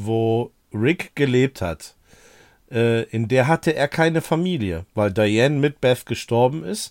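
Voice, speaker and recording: In a very clean recording with a silent background and a dry, close sound with no echo, a man talks very slowly at a medium pitch with lively intonation. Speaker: podcast co-host. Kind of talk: casual chat.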